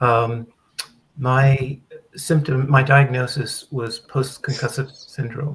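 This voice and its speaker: Speaking very slowly, a man with a medium-pitched, somewhat breathy voice keeps a monotone, flat intonation. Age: 70s. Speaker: recovered patient mentor. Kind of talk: panel discussion.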